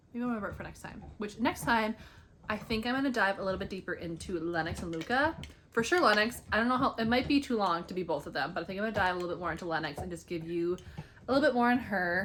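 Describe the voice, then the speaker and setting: Lively in intonation, a woman's speech races along at a very fast pace. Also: medium pitch for a woman. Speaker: indie author and book vlogger. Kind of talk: casual chat. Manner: rambling, filler-heavy.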